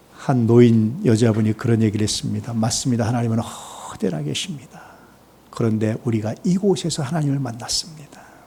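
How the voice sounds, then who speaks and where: Somewhat breathy and dark, mellow in tone, a man talks at a fairly quick pace and medium pitch with lively intonation. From Korea, Chungcheong region. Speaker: pastor. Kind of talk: sermon.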